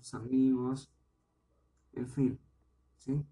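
The voice belongs to a man with a dark, mellow tone. It sits at a medium pitch. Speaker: podcast host, parent. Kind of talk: solo informational podcast monologue. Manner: careful, deliberate; hesitant, with repetitions.

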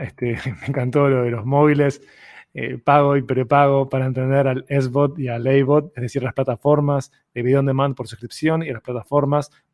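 Heard dry and close with no echo, a man with a Uruguayan accent speaks at a moderate pace in a fairly high voice with fairly even intonation. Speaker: podcast host. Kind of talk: interview.

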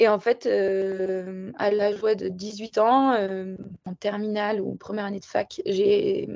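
The speaker is a woman with a medium pitch. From southern French Alps (Barcelonnette). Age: 20s. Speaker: freeride skier. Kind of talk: interview. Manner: casual, hesitant with fillers.

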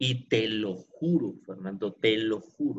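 A man's lively intonation and bright, sharp tone. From Pereira, Colombia. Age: 40s. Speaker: entrepreneur sharing his life story. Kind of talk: interview, personal life story.

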